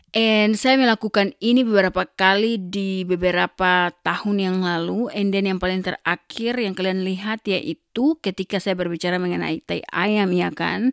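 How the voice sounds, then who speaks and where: With hardly any pauses, a woman talks at a moderate pace and medium pitch with ordinary pitch variation, in a dry, close sound with no echo on a very clean recording with a silent background. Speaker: vlogger. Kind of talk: casual chat. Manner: code-switching Indonesian and English; animated.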